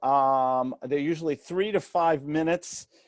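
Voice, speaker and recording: With a slight New York accent, the speaker goes at a fairly slow pace with ordinary pitch variation, in a dry, close sound with no echo and a quiet background. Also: man. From New York City. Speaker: real estate mentor and author. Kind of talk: interview. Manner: animated.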